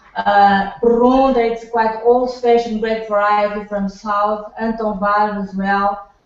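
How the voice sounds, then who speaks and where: Speaking very slowly in a Portuguese accent, a woman keeps a monotone, flat intonation at a fairly high pitch. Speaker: winemaker. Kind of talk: product presentation on video call. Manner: halting, many repetitions.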